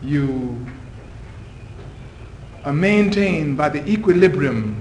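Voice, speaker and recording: Fairly high for a man, his voice moves with lively intonation at a very slow pace. Noticeable background noise runs behind him. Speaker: poet, scholar and civil servant; religious follower giving a guest talk. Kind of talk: guest lecture to university class.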